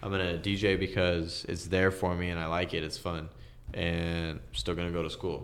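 At a moderate pace, a man with an American accent and a very deep, low pitch speaks with fairly even intonation, and there is audible room echo. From San Jose area, California (Milpitas). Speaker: music producer and DJ. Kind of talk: casual interview chat.

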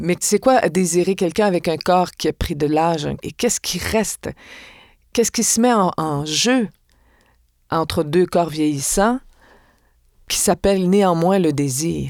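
At a fairly slow pace, a woman with a fairly low pitch and ordinary pitch variation speaks with long, frequent pauses on a very clean recording with a silent background. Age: 60s. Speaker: actress and stage director. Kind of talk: interview conversation.

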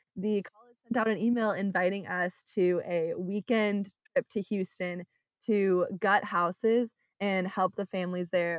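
With an American accent and a plain, everyday voice, a woman speaks at a medium pitch and fairly slow pace with fairly even intonation, in a very clean recording with a silent background and a dry, close sound with no echo. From US West Coast, Orange County, California. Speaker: architecture student. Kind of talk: interview. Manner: many filler ums, frequent laughs.

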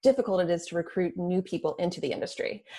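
A woman with a dark, mellow tone and a somewhat breathy voice speaks at a very fast pace, with medium pitch and ordinary pitch variation, in a very clean recording with a silent background. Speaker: podcast host. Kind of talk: interview.

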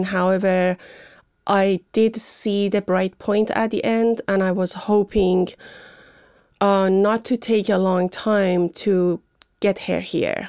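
A woman with a medium pitch and a Persian accent, her intonation fairly even, in a dry, close sound with no echo. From Iran, Tehran. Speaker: author. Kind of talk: radio interview. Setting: studio.

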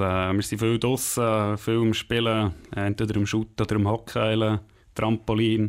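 A man's fairly low, monotone, flat voice in a very clean recording with a silent background. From Switzerland, Bern region (Langenthal). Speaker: ice hockey player. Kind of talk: interview.

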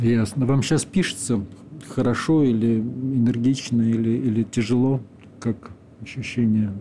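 Amid noticeable background noise, a man at medium pitch speaks at a fairly slow pace with fairly even intonation and long, frequent pauses. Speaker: radio host. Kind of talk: radio show hosting and interview. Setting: studio.

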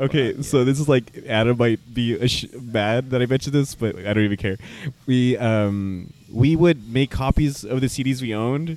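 Ordinary pitch variation colors a plain, everyday voice that holds a moderate pace. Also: man, medium pitch for a man. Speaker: podcast host. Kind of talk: casual chat. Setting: bar.

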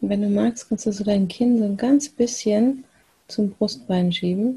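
A woman speaks at a fairly slow pace in a calm, soothing, dark and mellow tone, somewhat breathy, with ordinary pitch variation. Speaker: meditation guide. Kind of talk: guided meditation. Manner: slow, calm, soothing with long pauses; soft-spoken, gentle, unhurried.

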